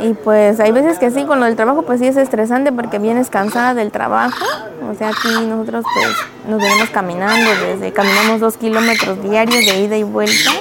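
Over noticeable background noise, a woman with a fairly high pitch talks at a fairly quick pace, with ordinary pitch variation. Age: 20s. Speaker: kitchen assistant, single mother. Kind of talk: interview.

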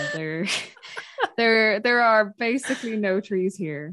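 The speaker is a woman. She talks with a Dublin accent. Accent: Dublin Irish. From Ireland, North Dublin. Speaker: woodland charity worker and podcaster. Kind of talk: casual interview.

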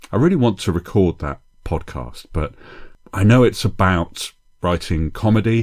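The man is soft-spoken, with lively intonation. His recording is very clean, against a silent background. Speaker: podcast host, comedy writing teacher. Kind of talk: solo podcast monologue. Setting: home, early morning. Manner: speaking quietly, soft; intimate, close to mic like late-night DJ.

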